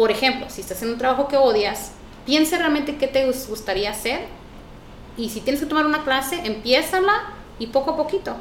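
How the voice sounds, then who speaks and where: At a fairly quick pace, a woman talks in a high voice with lively intonation. The recording carries noticeable background noise and audible room echo. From Mexico, Chihuahua (near Parral). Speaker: interpreter and business owner. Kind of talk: casual interview.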